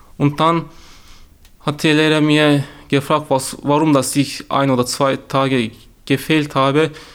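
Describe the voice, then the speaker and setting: With a Turkish accent, a man speaks in a monotone with flat intonation at a fairly high pitch. He pauses often and at length. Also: very clean recording, silent background. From Turkey. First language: Turkish (speaking German). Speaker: youth newsroom member sharing racism experiences. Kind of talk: personal testimony. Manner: halting.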